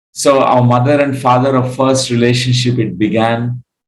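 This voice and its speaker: A man speaks at a medium pitch with a Telugu accent. His pace is fairly slow. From India, Andhra Pradesh. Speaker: spiritual teacher. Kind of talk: lecture. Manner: halting, frequent fillers.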